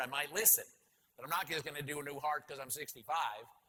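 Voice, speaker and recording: Animated and bright with a sharp tone, a man speaks with an American accent at a fairly high pitch. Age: 60s. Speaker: company CEO and conference speaker. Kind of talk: conference keynote talk.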